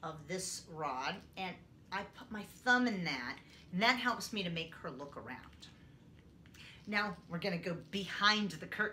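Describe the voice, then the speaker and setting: At a fairly slow pace, a woman speaks with lively intonation, big swings in loudness and long, frequent pauses over light background noise. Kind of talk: tutorial demonstration. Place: home room. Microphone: camera far.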